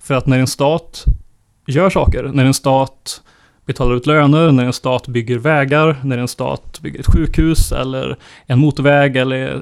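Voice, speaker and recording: A man with a medium-pitched voice talks at a moderate pace, keeping his intonation fairly even. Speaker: podcast co-host. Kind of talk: casual chat about economics.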